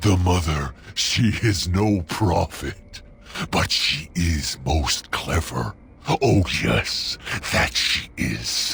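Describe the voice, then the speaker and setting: Over clear background noise, a man growls in a put-on character voice that is very deep and low, at a very slow pace. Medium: video game. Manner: odd broken grammar, formal.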